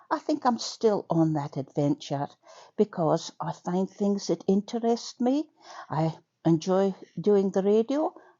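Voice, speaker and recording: A woman speaks with a Scottish accent at a medium pitch. Her pitch swings very widely, and her pace is fairly slow. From Scotland. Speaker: community radio broadcaster. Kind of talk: personal testimony. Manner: chatty with many fillers.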